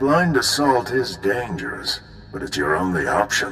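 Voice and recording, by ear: A man's put-on character voice, low-pitched and bright, sharp in tone, with big pitch swings at a moderate pace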